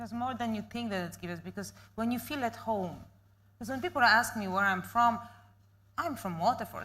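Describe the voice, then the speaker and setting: Speaking fairly quickly with a non-native accent, a woman uses a fairly high pitch, a bright, sharp tone with vocal fry and lively intonation. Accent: foreign accent, noticeable. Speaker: panel guest. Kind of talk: panel discussion.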